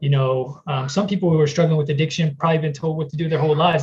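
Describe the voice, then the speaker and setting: A man with a slight Southern US accent speaks at a fairly high pitch. His voice is somewhat breathy, with fairly even intonation. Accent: slight Southern twang. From US South. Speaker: person in recovery. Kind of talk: testimony. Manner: casual, with many fillers.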